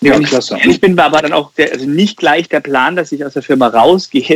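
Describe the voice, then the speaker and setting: This man has a plain, everyday voice with fairly high pitch. He talks at a moderate pace with ordinary pitch variation. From Germany, Karlsruhe (Baden). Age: 30s. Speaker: insurance broker and entrepreneur. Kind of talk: podcast interview.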